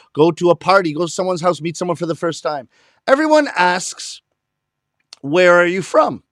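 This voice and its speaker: A man's high, animated voice with lively intonation, dry and close with no echo, on a very clean recording with a silent background. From Canada, Toronto. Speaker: comedian, rakugo storyteller. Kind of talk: stand-up. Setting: live stream performance.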